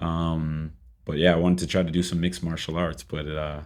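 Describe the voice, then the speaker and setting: With an American accent, a man of very deep, low pitch speaks at a fairly quick pace in a monotone, flat intonation. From Boston, Massachusetts. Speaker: fitness and boxing trainer, gym co-founder. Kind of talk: casual interview chat.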